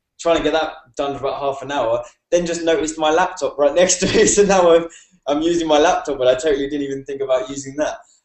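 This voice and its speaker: A man with a British accent and fairly high pitch talks very fast with fairly even intonation. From UK. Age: 20s. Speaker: online marketer. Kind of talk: casual chat. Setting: video call. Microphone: laptop mic.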